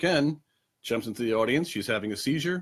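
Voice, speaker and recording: With a Long Island accent, a man speaks at a medium pitch with lively intonation, recorded very cleanly over a silent background. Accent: New York (Long Island). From Long Island, New York. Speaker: trivia host. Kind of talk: casual live-stream trivia show. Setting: home apartment, webcam stream. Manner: casual, many fillers (um, uh).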